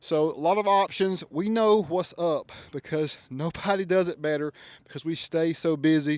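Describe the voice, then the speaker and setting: On a very clean recording with a silent background and a dry, close sound with no echo, a man with a Southern US accent speaks at a moderate pace, his pitch high for a man with ordinary variation. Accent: Southern country. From US South, Georgia. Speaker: custom truck shop owner and reviewer. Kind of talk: product walkaround review. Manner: animated. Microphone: new mic.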